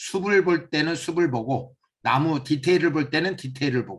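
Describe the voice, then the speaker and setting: A man speaks with a high pitch and lively intonation. He keeps a fairly slow pace. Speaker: seminar instructor. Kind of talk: lecture.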